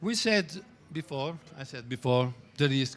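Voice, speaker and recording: A man with an Italian accent. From Italy. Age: 60s. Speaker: trading teacher. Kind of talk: lecture. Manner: halting.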